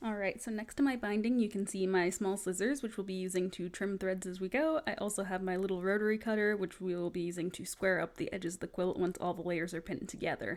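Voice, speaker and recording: A woman of medium pitch talks at a very fast pace with hardly any pauses. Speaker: quilter. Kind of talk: tutorial talk to camera. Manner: monotone.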